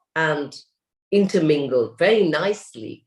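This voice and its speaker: The woman's pace is moderate. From India. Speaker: wellness podcast host. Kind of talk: interview.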